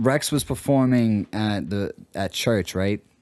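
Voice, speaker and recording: A man with a Boston accent speaks at a fairly low pitch with ordinary variation, his sound dry and close with no echo against a quiet background. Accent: Boston (Dorchester). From Boston, Dorchester. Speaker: hip hop radio host and show host. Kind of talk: casual chat.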